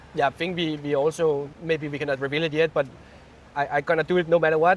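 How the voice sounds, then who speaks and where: A man talks at a very fast pace. His pitch sits fairly high and his intonation stays flat and monotone. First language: not English. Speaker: studio co-founder and CEO. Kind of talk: casual interview. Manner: halting.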